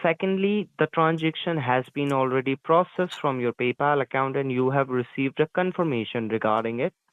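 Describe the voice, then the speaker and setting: At a moderate pace and a medium pitch, a man talks in an unremarkable speaking voice. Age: 20s. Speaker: phone scammer. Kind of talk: scripted phone support pitch. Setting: phone call. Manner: formal.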